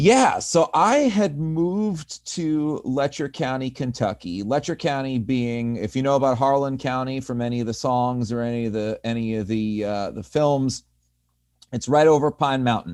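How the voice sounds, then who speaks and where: A man with a Northeastern US accent speaks at a moderate pace in a medium pitch, his intonation lively, on a very clean recording with a silent background. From US Northeast. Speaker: community organizer. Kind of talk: panel discussion.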